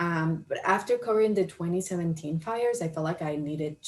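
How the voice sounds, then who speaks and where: A woman speaks with a Spanish accent at a fairly low pitch. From Colombia. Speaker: county equity office worker, former journalist. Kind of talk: career talk to camera. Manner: hesitant, many fillers.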